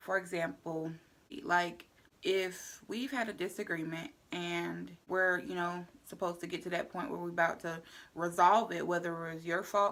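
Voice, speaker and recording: The voice has ordinary pitch variation in a very clean recording with a silent background. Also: woman. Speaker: vlogger. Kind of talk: casual vlog monologue. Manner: loud; animated.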